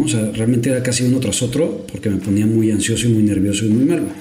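A man with a Mexican accent talks at a medium pitch with ordinary pitch variation, with audible room echo and noticeable background noise. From Mexico. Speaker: NFL podcast co-host. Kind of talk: casual chat.

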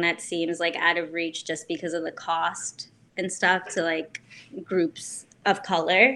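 A woman speaks with a New Jersey accent at a fairly low pitch. Her pace is fairly slow. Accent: New Jersey American. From US, New Jersey. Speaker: bike brand co-founder. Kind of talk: casual interview chat.

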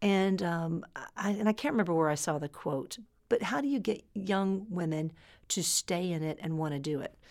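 A woman with a plain, everyday voice speaks at a moderate pace in a fairly low pitch with lively intonation, recorded very cleanly against a silent background. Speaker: oil industry executive. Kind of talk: interview.

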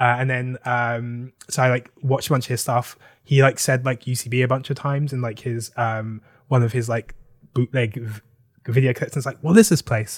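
Somewhat breathy, a man speaks at a medium pitch and moderate pace with fairly even intonation. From South London, England. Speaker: comedy writer and director. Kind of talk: casual interview chat. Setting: video call. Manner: halting, many fillers.

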